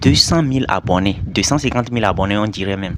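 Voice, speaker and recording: A man's fairly low voice at a very fast pace, with ordinary pitch variation, over noticeable background noise. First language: not French (speaking French). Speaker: YouTuber commentator. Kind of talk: casual video commentary.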